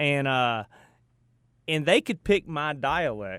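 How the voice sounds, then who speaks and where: A man in a Southern US accent with lively intonation, in a very clean, dry, close recording with a silent background and no echo. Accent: Southern US drawl. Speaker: radio host. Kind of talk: casual chat. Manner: animated.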